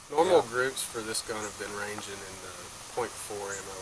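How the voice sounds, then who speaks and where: Soft-spoken and at a moderate pace, the voice comes with an American accent, big swings in loudness and noticeable background noise. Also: man. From Southern United States. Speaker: hunter. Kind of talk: casual talk to camera.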